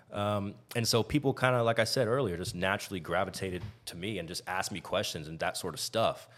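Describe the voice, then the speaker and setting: A man talks in an American accent with ordinary pitch variation. Music plays in the background. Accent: none left of his English one. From Texas. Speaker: podcaster, former college basketball player. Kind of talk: casual chat.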